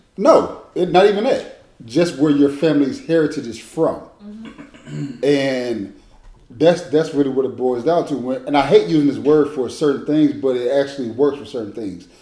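A man's ordinary pitch variation comes through noticeable background noise. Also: fairly high pitch for a man, moderate pace. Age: 30s. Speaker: former college athlete. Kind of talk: casual chat.

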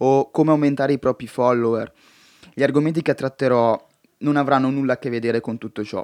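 A man at medium pitch and a fairly quick pace, fairly even intonation, dry, close sound with no echo, and a quiet background. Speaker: podcaster. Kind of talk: monologue podcast. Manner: direct.

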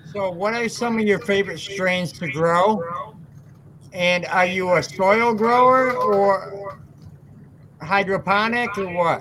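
With noticeable background noise behind him, a man speaks very slowly at a high pitch with an American accent and ordinary pitch variation. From West Michigan. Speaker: podcast host. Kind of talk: casual chat.

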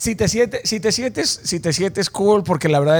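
A man talks fairly quickly, his intonation lively. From Mexico, Mazatlán, Sinaloa. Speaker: podcast host. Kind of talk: interview.

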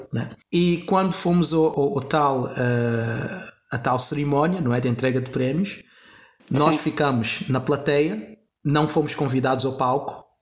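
A somewhat breathy man at a fairly high pitch, speaking at a fairly slow pace. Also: ordinary pitch variation. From Angola. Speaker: actor. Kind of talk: podcast interview. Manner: halting, many fillers and repetitions.

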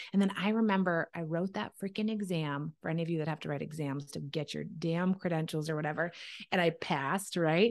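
A woman with an unremarkable speaking voice talks in a fairly low pitch, with ordinary pitch variation. Her pace is fairly quick, and the background is quiet. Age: 30s. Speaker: entrepreneur and former dietitian. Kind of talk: casual interview.

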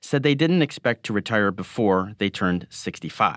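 On a very clean recording with a silent background, a man with a plain, everyday voice and an American accent speaks at a moderate pace in a fairly low pitch with lively intonation. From Michigan. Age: 40s. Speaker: newspaper columnist. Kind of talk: scripted narration.

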